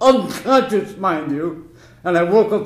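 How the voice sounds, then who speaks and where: Amid noticeable background noise, a man is speaking. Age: 80s+. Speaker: war veteran. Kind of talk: courtroom testimony.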